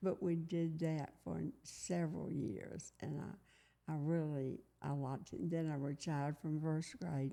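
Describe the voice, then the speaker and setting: A woman with a Tennessee accent, very deep and low in pitch, dark and mellow in tone, at a fairly slow pace with fairly even intonation and hardly any pauses. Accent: Southern US (Tennessee). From US South, Collierville, Tennessee. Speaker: retired teacher. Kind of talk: oral history interview.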